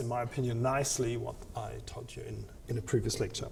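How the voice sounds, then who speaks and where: A man talks at a moderate pace. There is audible echo in the room. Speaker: university lecturer. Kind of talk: lecture. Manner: halting, many fillers and repeats.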